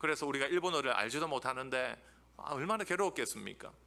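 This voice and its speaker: A man at a very fast pace, bright and sharp in tone, with vocal fry and very wide pitch swings. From Busan, South Korea. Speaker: theology professor. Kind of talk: lecture. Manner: animated.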